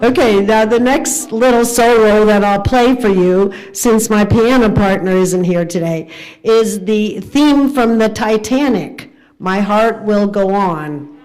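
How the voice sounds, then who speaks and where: At a very slow pace, a woman speaks with very even loudness and a fairly high pitch of ordinary variation. Noticeable background noise and audible room echo are present. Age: 70s. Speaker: organist. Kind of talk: casual chat. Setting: livestream.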